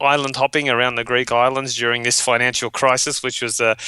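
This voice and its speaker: In an Australian accent, a man speaks at a fairly quick pace with a bright, sharp tone. His intonation stays monotone and flat. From Australia, western suburbs of Sydney. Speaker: webinar marketing trainer. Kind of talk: interview.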